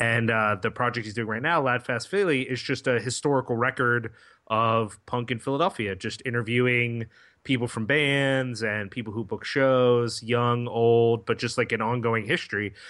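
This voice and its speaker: A man with a plain, everyday voice talks at a medium pitch and a moderate pace, his intonation fairly even. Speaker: podcast co-host. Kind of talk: casual chat.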